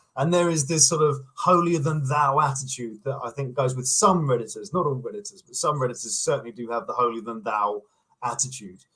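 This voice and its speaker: A man with a British accent, medium-pitched with ordinary variation, at a fairly quick pace. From England. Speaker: online commentator, YouTuber. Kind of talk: casual interview chat. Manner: halting, repeats words.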